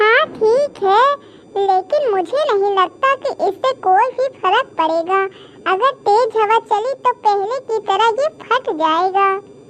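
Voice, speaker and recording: Using a cartoonish character voice, a woman talks at a fairly slow pace over clear background noise. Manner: calm, reassuring.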